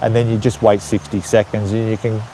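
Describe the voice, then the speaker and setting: A man with a strong Australian accent talks over noticeable background noise. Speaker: YouTuber, retiree in Thailand. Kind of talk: casual live stream chat. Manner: casual, with frequent fillers and repetitions.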